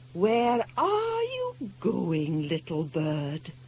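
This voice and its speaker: A soft-spoken woman performs a put-on character voice over clear background noise. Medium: read story. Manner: soft, kind.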